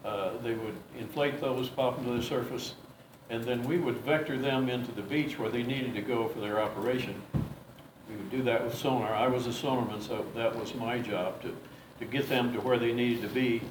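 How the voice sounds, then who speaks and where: Against noticeable background noise and audible room echo, a man with an American accent talks at a medium pitch and a fairly quick pace, his intonation fairly even. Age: 70s. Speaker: war veteran. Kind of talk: interview. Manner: halting, with many fillers.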